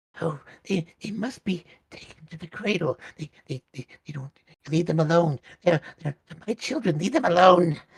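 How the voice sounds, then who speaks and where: A man puts on a character voice that is raspy and high-pitched. He speaks at a moderate pace. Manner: pleading, distressed.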